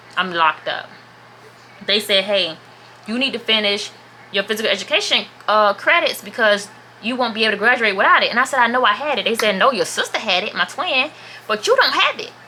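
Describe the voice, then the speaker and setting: Over noticeable background noise, a woman talks at a fairly quick pace in a fairly high voice with lively intonation. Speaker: vlogger. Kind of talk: storytime vlog. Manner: casual, chatty.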